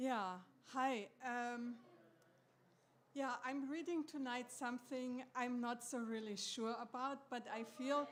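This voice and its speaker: With a German accent, a woman talks very slowly in a high pitch and fairly even intonation. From Germany. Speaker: first-time reader. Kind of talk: casual introduction. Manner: hesitant.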